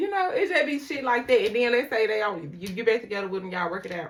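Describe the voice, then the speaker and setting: A woman with a high pitch talks at a very fast pace in an animated tone, her pitch swinging very widely against noticeable background noise. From Mississippi. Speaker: tarot reader. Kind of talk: tarot reading with casual rant.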